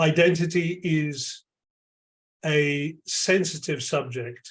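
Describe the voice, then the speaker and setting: Using fairly even intonation, a man with a fairly high pitch speaks at a very slow pace. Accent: London. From London, England. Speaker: AI lab chair, tech executive. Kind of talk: keynote Q&A answers.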